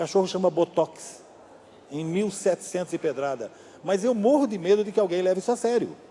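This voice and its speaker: Over noticeable background noise, a man speaks at a fairly quick pace. His voice is high-pitched with ordinary variation. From Brazil, São Paulo state (Amparo). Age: 60s. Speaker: novelist and screenwriter. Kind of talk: public talk interview. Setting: library event with audience.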